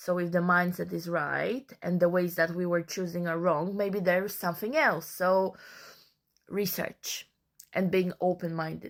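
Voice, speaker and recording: A woman with a non-native accent speaks at a fairly slow pace in a fairly low pitch, her intonation monotone and flat, on a very clean recording with a silent background. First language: not English. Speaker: social media creator. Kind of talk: casual monologue.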